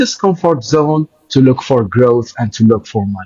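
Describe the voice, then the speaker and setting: A man speaks in a non-native accent at a fairly slow pace. His somewhat breathy voice sounds dry and close, with no echo. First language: Arabic. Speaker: podcast host. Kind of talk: interview conversation.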